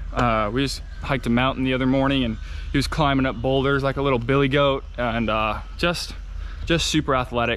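Against noticeable background noise, a man talks at a fairly quick pace with monotone, flat intonation. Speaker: dog owner vlogger. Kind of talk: casual vlog chat. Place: farm machine. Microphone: phone near.

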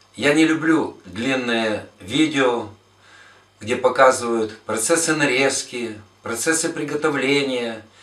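In a room with audible echo, a man speaks at a very slow pace with ordinary pitch variation. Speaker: club host. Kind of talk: casual vlog intro to a cooking tutorial. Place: kitchen.

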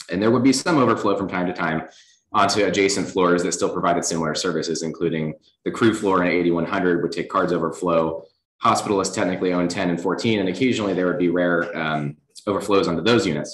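Very fast American-accented talk from a man with a very deep, low pitch, fairly even intonation and audible room echo. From Virginia (Lynchburg). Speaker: chief resident physician. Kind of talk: lecture. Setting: hospital auditorium, in person and streamed. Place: hall.

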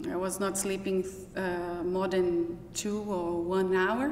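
With a Brazilian accent, a woman speaks at a very slow pace amid audible room echo and light background noise. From Brazil (Minas Gerais). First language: Portuguese. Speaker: professor. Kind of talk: personal testimony; interview answer. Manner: halting. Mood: reflective, personal. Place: hall.

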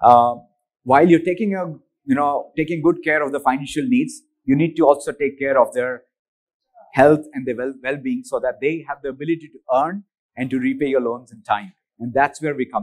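The speech moves at a fairly quick pace with big swings in loudness and ordinary pitch variation, over a quiet background. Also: man. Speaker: presenter. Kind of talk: conference keynote. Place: hall.

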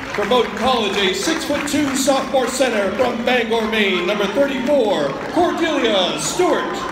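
Crowd noise sits behind a man speaking at an extremely high pitch and a moderate pace. He keeps a very even loudness and leaves hardly any pauses. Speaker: public address announcer. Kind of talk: sports public address announcement, starting lineups. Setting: gymnasium PA system. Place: stadium. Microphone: phone near.

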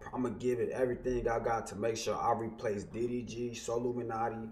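With light background noise behind him, a man talks at a fairly quick pace in a monotone, flat intonation. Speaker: YouTuber, streamer. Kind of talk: casual vlog chat. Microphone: headset.

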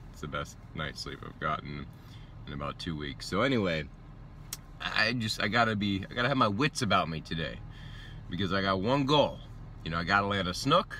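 A man with a fairly low pitch and vocal fry talks at a fairly quick pace, with very wide pitch swings and big swings in loudness. The sound is dry with no echo, with light background noise. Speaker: fishing vlogger. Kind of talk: casual vlog chat. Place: car. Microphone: phone near.

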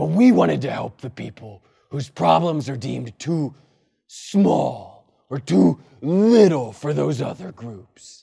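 Speaking at a fairly slow pace, a man at medium pitch makes very wide pitch swings and big swings in loudness. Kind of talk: comedy sketch acting. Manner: pompous, melodramatic.

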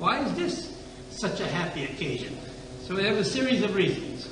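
A man speaks at a moderate pace with a high pitch. Audible room echo and noticeable background noise surround his voice. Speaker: rabbi teaching a class. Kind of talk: lecture. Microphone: old recording.

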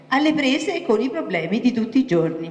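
A woman at a moderate pace, very wide pitch swings, and audible room echo. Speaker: theatre group announcer. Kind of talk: formal announcement. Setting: stage with audience. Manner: formal. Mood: warm, welcoming. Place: stage. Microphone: handheld.

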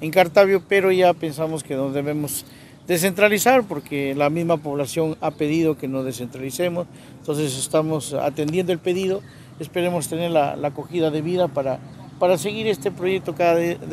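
The sound is dry with no echo and light background noise. A man speaks at a moderate pace with ordinary pitch variation. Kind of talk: interview answer. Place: street. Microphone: handheld.

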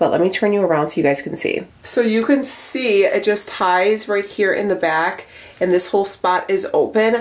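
A woman talks at a moderate pace with medium pitch and few pauses. Her pitch variation is ordinary.

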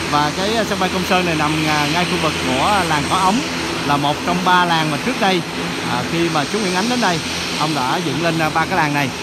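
The voice moves at a moderate pace, its sound dry with no echo, under loud background noise. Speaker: travel vlogger. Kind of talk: casual travel vlog commentary. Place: street. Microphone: phone near.

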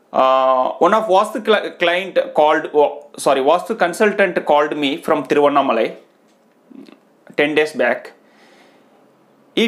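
Someone speaks at a fairly slow pace against a quiet background. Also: man. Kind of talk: advice talk to camera. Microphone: lapel.

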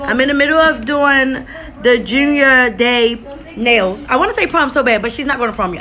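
A woman speaks in a raised, projected voice. She keeps a moderate pace. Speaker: vlogger. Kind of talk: casual vlog chat. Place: home room. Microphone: phone near.

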